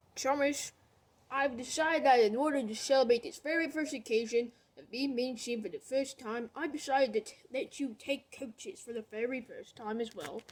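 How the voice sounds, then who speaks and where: A woman puts on a character voice, pitched high. She keeps a moderate pace. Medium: read story.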